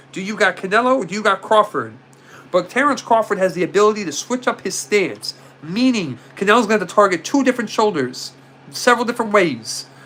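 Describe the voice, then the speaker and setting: The voice has an animated tone and a very fast pace. Noticeable background noise is present. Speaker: livestream host discussing boxing while selling sports cards. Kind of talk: casual live-stream chat. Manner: loud.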